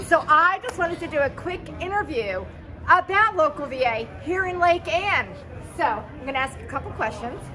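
A woman's raised, projected voice at a fairly slow pace, with faint music in the background. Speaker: vlogger interviewer. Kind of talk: casual vlog interview. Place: street. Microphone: phone near.

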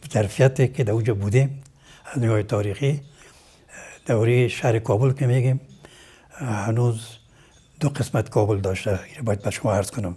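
With long, frequent pauses, a man talks at a moderate pace and medium pitch, his voice somewhat breathy and his pitch variation ordinary. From Afghanistan, Kabul. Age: 80s+. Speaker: retired surgeon and medical professor; medical professor. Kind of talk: interview. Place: home room. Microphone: lapel.

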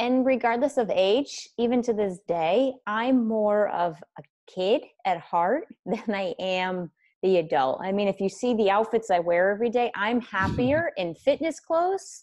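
Against a quiet background, a woman with a plain, everyday voice speaks at a fairly slow pace, her fairly high pitch carrying lively intonation. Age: 30s. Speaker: wellness coach and author; podcast guest. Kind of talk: casual interview. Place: home room. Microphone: earbuds.

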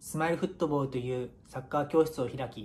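A somewhat breathy man's voice, fairly high in pitch, fairly quick, with fairly even intonation. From Japan, Miyagi (Iwanuma); Japan. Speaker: professional footballer. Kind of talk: prepared video message. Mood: earnest, solemn remembrance. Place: home room. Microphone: phone near.

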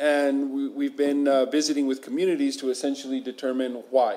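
A man with a dark, mellow tone speaks at a fairly quick pace in a monotone, flat intonation. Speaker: state official presenting to council. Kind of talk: formal presentation. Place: meeting room.

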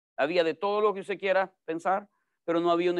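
Talking at a fairly quick pace with a Salvadoran accent, a man is recorded dry with no echo over a quiet background. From El Salvador. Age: 40s. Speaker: pastor. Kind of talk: sermon. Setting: church. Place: studio.

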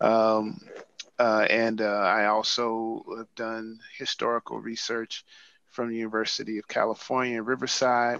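A man with an American accent, bright and sharp in tone, monotone and flat in intonation, at a moderate pace, in a dry sound with no echo. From US Midwest, St. Louis; US Midwest. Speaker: museum curator. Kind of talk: presentation with slides. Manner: halting, many fillers. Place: office. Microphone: video call.

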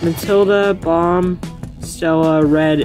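Music plays clearly in the background. The sound is dry, with no echo. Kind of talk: casual collection show-and-tell. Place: home room. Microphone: phone near.

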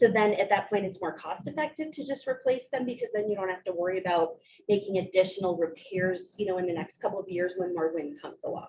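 A woman at medium pitch, very fast pace and lively intonation. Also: hardly any pauses. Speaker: state housing official. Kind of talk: public hearing Q&A answer. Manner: loud.

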